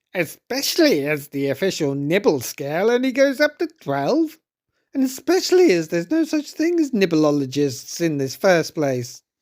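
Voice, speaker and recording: Someone puts on a character voice at a moderate pace, pitched in the middle with very wide pitch swings. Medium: read story.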